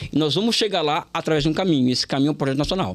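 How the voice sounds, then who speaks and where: This man rattles along at a very fast speed. His intonation is lively throughout. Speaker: professor and political candidate. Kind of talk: interview. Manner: halting, many repetitions.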